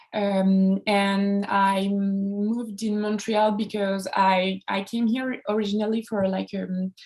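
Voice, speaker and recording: Monotone, flat intonation in a French accent. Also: woman. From France, Charente-Maritime. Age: 20s. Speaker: comics artist. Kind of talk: casual talk on a live stream. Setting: Instagram live video. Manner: halting, many fillers.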